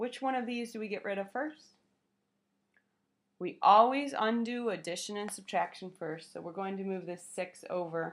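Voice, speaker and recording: A woman speaks at a moderate pace in an ordinary speaking voice, medium in pitch, with ordinary pitch variation. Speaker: math teacher. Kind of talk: lecture.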